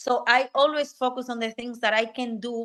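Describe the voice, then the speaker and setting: At a moderate pace, a woman talks with fairly even intonation and a bright, sharp tone. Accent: Spanish. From Dominican Republic. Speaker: technical program manager and career coach. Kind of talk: podcast interview.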